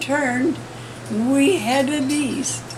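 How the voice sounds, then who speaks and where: Very slowly, a woman speaks at a high pitch amid noticeable background noise. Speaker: ranch woman. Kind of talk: interview answer.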